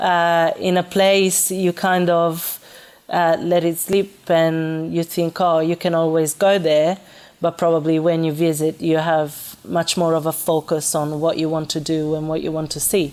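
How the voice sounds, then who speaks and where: A woman speaks fairly slowly in an Italian accent. Her fairly low voice stays monotone, with flat intonation. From Italy, Florence. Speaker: restaurant manager. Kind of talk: interview. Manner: halting, many fillers.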